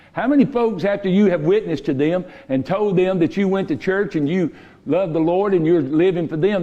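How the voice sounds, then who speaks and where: Talking at a fairly quick pace, a man with a Southern US accent has a high pitch, a dark, mellow tone and ordinary pitch variation. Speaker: pastor. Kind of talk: sermon. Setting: church. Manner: loud; sounds stern, like he's mad.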